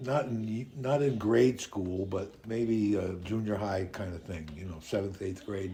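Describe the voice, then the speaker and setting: Somewhat breathy and dark, mellow in tone, a man speaks at a fairly low pitch with ordinary pitch variation and hardly any pauses. Audible room echo surrounds his voice. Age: 70s. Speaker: interviewee. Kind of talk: interview. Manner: halting, many repetitions.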